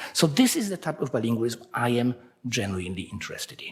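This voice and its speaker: A man with a Polish accent, medium pitch and very wide pitch swings. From Poland. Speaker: researcher. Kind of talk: conference talk.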